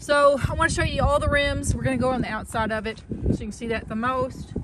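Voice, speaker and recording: A woman with an American accent speaks very fast in a high voice, with noticeable background noise and audible room echo. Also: ordinary pitch variation. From US South. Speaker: car seller. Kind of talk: vehicle walkaround video. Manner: hesitant, many fillers.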